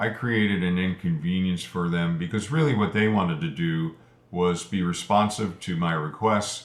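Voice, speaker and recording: A man with a very deep, low pitch speaks at a moderate pace with ordinary pitch variation. Audible room echo surrounds the voice. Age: 70s. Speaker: Japanese language learner, video creator. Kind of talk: casual monologue explaining motivation. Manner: hesitant, with fillers.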